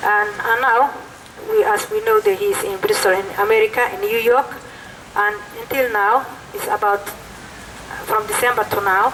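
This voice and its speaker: Over noticeable background noise, a woman with a non-native accent speaks at a moderate pace, her fairly high pitch carrying fairly even intonation. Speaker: protest speaker, mother of detainee. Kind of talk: protest speech. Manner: halting.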